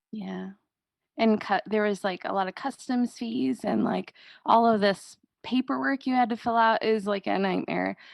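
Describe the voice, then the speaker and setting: A woman speaks at a moderate pace with a fairly high pitch and lively intonation. Hers is an unremarkable speaking voice. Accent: American. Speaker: business co-founder. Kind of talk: podcast interview.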